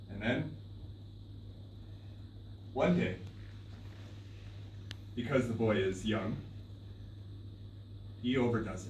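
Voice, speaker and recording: A man speaks slowly at a fairly low pitch, with fairly even intonation and long, frequent pauses. His loudness swings widely over noticeable background noise. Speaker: storyteller. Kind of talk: live storytelling performance. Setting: live stage performance.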